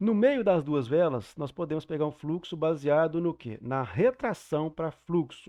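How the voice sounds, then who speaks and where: A man with a fairly high pitch speaks at a fairly slow pace. He leaves hardly any pauses. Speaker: trading mentor teacher. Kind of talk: online class lecture. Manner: deliberately slow.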